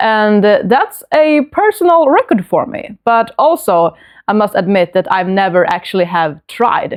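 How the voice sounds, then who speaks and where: In a Swedish accent, a woman speaks at a fairly slow pace with a fairly high pitch and very wide pitch swings against a quiet background. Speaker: book vlogger. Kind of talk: casual book review vlog. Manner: hesitant, many fillers.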